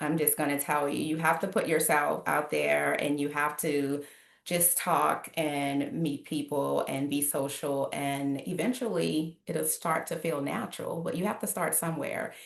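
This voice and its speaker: With a slight New Orleans accent, a woman speaks in a very deep, low pitch with vocal fry. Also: ordinary pitch variation, fairly slow pace, hardly any pauses. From New Orleans, Louisiana. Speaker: life coach. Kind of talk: podcast interview.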